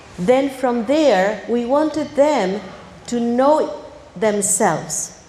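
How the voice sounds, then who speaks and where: In a room with audible echo and noticeable background noise, a woman speaks very slowly, her pitch fairly high with ordinary variation. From Argentina. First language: Spanish. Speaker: academy director with a PhD. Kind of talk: ceremony speech.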